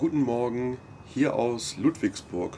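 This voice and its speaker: A man speaks at a very slow pace. Light background noise can be heard. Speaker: vlogger. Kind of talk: casual vlog recap. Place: street. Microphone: camera far.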